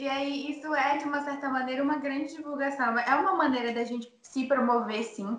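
A woman speaks with a high pitch at a fairly quick pace, her intonation fairly even and hardly any pauses, over noticeable background noise. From Manaus, Amazonas, Brazil. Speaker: singer and singing teacher. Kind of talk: casual chat.

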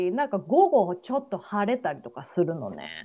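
A woman talks at a moderate speed, and the background is quiet. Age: 40s. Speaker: podcast co-host. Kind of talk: casual chat.

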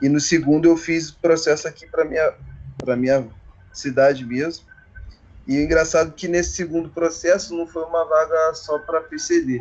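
The voice moves at a moderate pace, with big swings in loudness. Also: man, fairly high pitch for a man, fairly even intonation. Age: 30s. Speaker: railway worker. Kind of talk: casual interview. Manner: halting.

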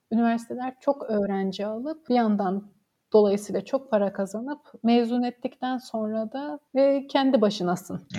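Here is a woman with an ordinary speaking voice, pitched fairly high. She talks at a fairly slow pace with ordinary pitch variation. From Samsun, Turkey. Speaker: history graduate researcher. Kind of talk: casual interview.

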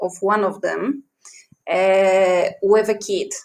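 A woman with a Polish accent speaks in fairly even intonation. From Poland. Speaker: podcaster. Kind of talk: personal storytelling.

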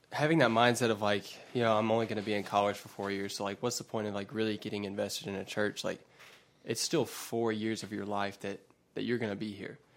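A man with an American accent speaks at a fairly quick pace in a fairly low pitch, with an unremarkable speaking voice and fairly even intonation. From US South, West Georgia. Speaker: college student. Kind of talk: casual chat.

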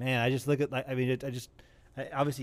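A man is talking. His voice is medium in pitch. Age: 40s. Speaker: podcast host. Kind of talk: casual chat.

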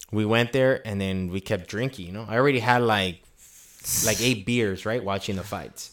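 A man speaks with a fairly low pitch and fairly even intonation. He has an ordinary speaking voice. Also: moderate pace. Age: 20s. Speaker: podcast host. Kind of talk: casual chat.

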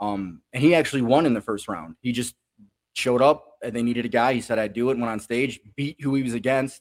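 Here is a man with a plain, everyday voice and an American accent. He speaks at medium pitch and a fairly quick pace, with ordinary pitch variation. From Chicago. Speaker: comedian. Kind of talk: casual chat.

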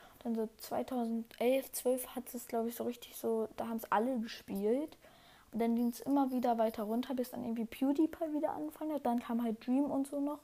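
A woman speaks at a fairly quick pace with a high pitch. Her tone is dark and mellow, with ordinary pitch variation. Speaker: gaming podcast host. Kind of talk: casual solo chat. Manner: halting, many fillers.

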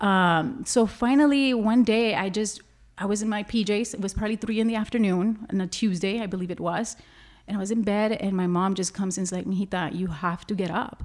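This woman has a plain, everyday voice at medium pitch, talking at a fairly quick pace with ordinary pitch variation on a very clean recording with a silent background. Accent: American. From Laredo, Texas. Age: 30s. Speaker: self-care and anti-abuse advocate. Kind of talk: interview.

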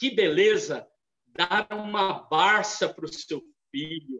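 This is a man speaking. His pace is very slow. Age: 50s. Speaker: theology lecturer. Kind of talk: lecture.

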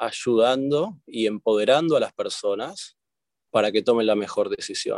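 In a Rioplatense accent, a man speaks at a fairly slow pace with a dry, close sound and no echo. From Argentina. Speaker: corporate lawyer. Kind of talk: interview.

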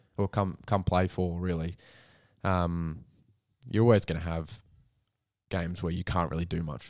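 Recorded very cleanly against a silent background, a man with an Australian accent and a very deep, low pitch talks at a moderate pace with long, frequent pauses. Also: fairly even intonation. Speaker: football podcast co-host. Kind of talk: casual chat.

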